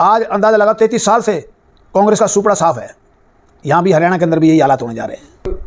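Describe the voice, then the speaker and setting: A man speaks in a high pitch at a moderate pace with ordinary pitch variation. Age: 70s. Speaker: politician. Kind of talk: press interview. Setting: press conference. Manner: halting; blunt.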